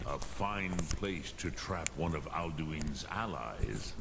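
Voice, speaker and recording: A man's put-on character voice, very deep and low in pitch, at a fairly slow pace over loud background noise. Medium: video game. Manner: slow, solemn, measured.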